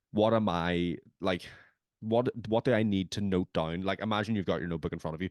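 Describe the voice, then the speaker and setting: Very deep, low pitch from a man with a Northern Irish accent at a very fast pace, the sound dry and close with no echo over a quiet background. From Northern Ireland. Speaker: podcast host. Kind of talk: casual chat. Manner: animated.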